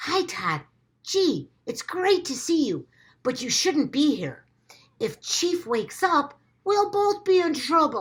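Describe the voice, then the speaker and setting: A woman uses a put-on character voice, high for a woman and delivered at a fairly slow pace. Her pitch swings very widely. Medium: read story.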